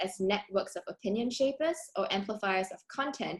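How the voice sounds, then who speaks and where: Somewhat breathy, fairly high-pitched speech from a woman, its pitch moving in a typical way. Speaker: academic researcher. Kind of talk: conference presentation. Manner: fast.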